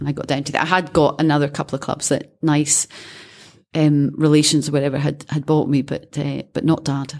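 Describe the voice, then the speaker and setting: With a Scottish accent, a woman talks at a fairly quick pace in a very deep, low pitch and a monotone, flat intonation. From Scotland. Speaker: former caddie and amateur golfer. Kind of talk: interview.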